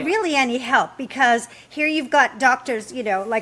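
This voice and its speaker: Clear background noise is present throughout. A woman talks at a moderate speed. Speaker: podcast host. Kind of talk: casual podcast conversation.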